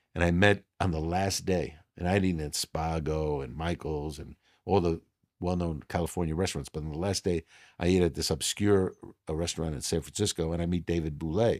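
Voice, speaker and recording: A man with a New York accent speaks at a fairly quick pace in a very deep, low pitch. His intonation is fairly even, and the recording is very clean with a silent background. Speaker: restaurateur. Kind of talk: casual interview.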